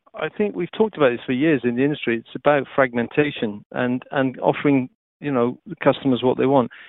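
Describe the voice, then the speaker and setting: A man speaks with a Welsh accent at a fairly quick pace. His pitch variation is ordinary. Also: medium pitch for a man. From Wales. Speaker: TV technology executive. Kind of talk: interview.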